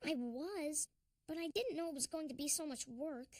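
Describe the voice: In a cartoonish character voice with a high pitch, the speaker moves at a moderate pace.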